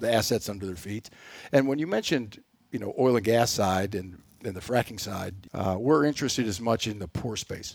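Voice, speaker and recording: On a very clean recording with a silent background, a man with an American accent talks at a moderate pace. His pitch is fairly low, with ordinary pitch variation. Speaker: energy company president. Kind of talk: interview. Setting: studio.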